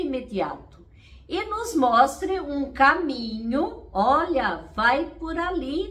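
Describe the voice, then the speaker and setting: Against noticeable background noise and audible room echo, a woman speaks in a high voice with very wide pitch swings. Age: 60s. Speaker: therapist and coach. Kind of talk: casual motivational talk to camera.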